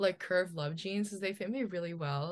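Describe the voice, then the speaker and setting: Against a quiet background, a woman with an unremarkable speaking voice, fairly low pitch and a moderate pace. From New Jersey. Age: 20s. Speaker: model and college student. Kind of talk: casual chat.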